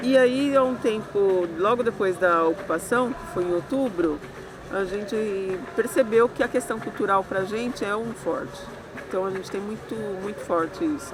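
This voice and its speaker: Over noticeable background noise, a woman speaks at a moderate pace and medium pitch, with lively intonation. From Brazil, São Bernardo do Campo (São Paulo area). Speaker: social educator and activist. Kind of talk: interview testimony.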